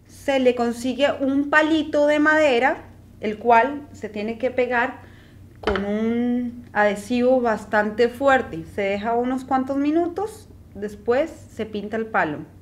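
A woman speaks with a high pitch. Her pace is very slow, over noticeable background noise. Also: ordinary pitch variation. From Colombia. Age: 20s. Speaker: craft presenter. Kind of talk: tutorial; personal introduction.

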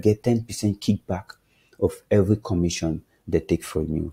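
In a very clean recording with a silent background and a dry, close sound with no echo, a man speaks with a very deep, low pitch, a somewhat breathy voice, and a dark, mellow tone. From Nigeria. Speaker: crypto trading YouTuber. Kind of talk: casual explainer video. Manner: animated; filler-heavy, hesitant.

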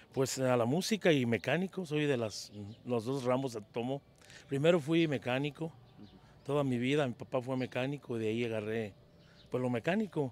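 A man talks at a moderate pace and a medium pitch, with ordinary pitch variation. The sound is dry with no echo. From Mexico, Jalisco (La Barca); Jalisco, Mexico. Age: 50s. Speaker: singer and mechanic; interviewee. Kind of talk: interview. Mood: cheerful, smiling. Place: street. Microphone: handheld.

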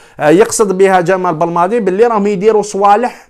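A man's high-pitched voice with an Algerian accent. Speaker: sports YouTuber. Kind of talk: solo commentary vlog. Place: home room. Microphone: lapel.

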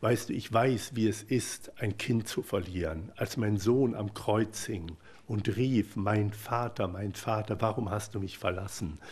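A man speaks very slowly, with hardly any pauses. His fairly low voice is somewhat breathy and his intonation fairly even. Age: 50s. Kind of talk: personal testimony talk. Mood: emotional, earnest. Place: hall.

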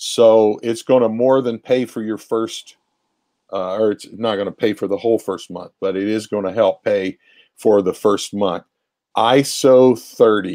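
A man with an American accent, fairly slow and fairly even in intonation, over a quiet background. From Ohio, Appalachian family roots. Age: 60s. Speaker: pastor. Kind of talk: conversational interview on ministry. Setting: remote video call. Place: home room. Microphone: earbuds.

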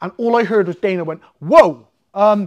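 A man speaks with an English accent and lively intonation. The background is quiet. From England. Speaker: MMA fighter and jiu-jitsu coach; jiu-jitsu coach. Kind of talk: casual storytelling interview. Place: gym. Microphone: lapel.

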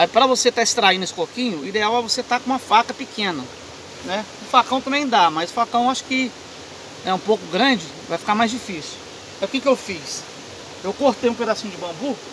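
Delivered at a very fast pace, the speech has a dry sound with no echo but noticeable background noise. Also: man, high pitch for a man, ordinary pitch variation. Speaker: outdoor bushcraft demonstrator. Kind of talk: tutorial. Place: waterside.

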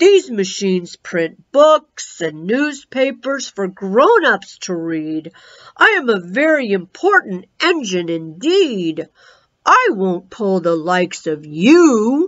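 Using a put-on character voice, a woman talks at a very slow pace, her medium pitch making very wide swings. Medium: read story. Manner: pompous, dismissive.

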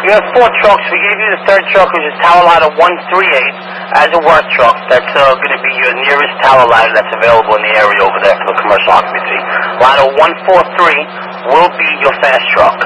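Noticeable background noise accompanies a man talking fairly quickly. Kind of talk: radio dispatch communication. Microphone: two way radio.

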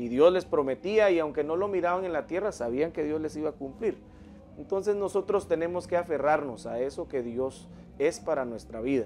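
This man's pitch is fairly high, and his intonation is lively at a moderate pace. Light background noise can be heard. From Guatemala. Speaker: pastor and worship singer. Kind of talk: religious interview. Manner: halting, hesitant. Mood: calm, earnest, religious. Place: studio.

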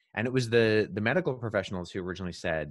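Against a quiet background, a man speaks with ordinary pitch variation in a dry sound with no echo. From Canada, partly raised in Jordan. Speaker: guest. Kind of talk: explanatory interview answers, lecture-like. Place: home room. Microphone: studio mic.

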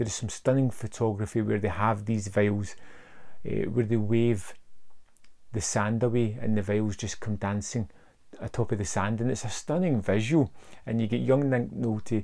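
A man speaks with vocal fry in a dark, mellow tone. His pace is moderate.

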